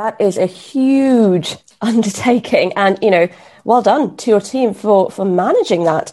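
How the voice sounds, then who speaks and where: A woman speaks at a fairly slow pace with a fairly high pitch and ordinary pitch variation. Her tone is dark and mellow. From Kenya. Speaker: podcast host and junior doctor. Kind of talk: podcast interview.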